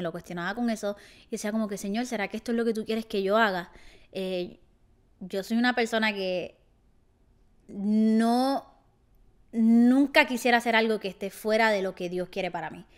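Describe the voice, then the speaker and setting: An animated tone at a moderate pace, with long, frequent pauses, ordinary pitch variation and a quiet background. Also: woman, fairly high pitch for a woman. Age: 20s. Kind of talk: casual vlog monologue. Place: home room. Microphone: handheld.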